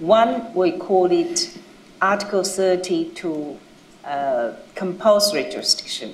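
A woman with lively intonation at a very slow pace, over light background noise. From China. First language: Chinese. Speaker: international judge. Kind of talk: panel discussion. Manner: loud. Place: hall.

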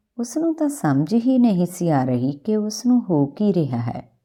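The recording is very clean, with a silent background. A woman speaks at a moderate pace and a fairly low pitch, with a dark, mellow tone and big pitch swings.

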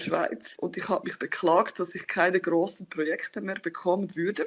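Moderate pace against a quiet background. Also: woman. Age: 30s. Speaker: scrum master and agile coach; agile coach. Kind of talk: conference talk. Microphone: webcam.

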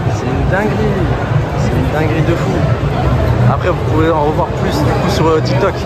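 This is a man's voice. He talks at a moderate pace with crowd noise behind him. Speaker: vlogger. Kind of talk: casual vlog chat. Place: hall. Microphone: phone near.

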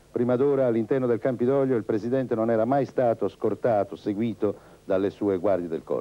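A man's ordinary speaking voice at medium pitch, with ordinary pitch variation and very even loudness. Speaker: TV news reporter. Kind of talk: 1981 Italian TV newsreel report, scripted voice-over narration. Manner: formal, measured, steady broadcast delivery.

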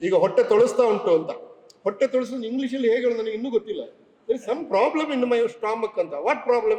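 Amid noticeable background noise, a man with an extremely high pitch speaks with ordinary pitch variation. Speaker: public official and literary speaker. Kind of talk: speech at a book launch.

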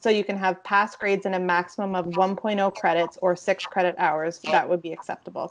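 The speech runs at a fairly quick pace with hardly any pauses. Its intonation is flat and monotone. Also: woman, medium pitch for a woman. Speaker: university admission counselor. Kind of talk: online information session. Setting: video call. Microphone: video call.

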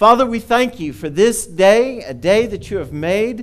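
A man talking at a fairly slow pace against a quiet background. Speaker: pastor. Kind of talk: welcome and prayer. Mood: warm, cheerful then reverent. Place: church. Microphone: headset.

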